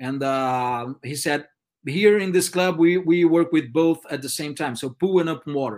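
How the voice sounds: A man talks in a Brazilian accent at a moderate pace. His pitch is fairly high, with ordinary variation.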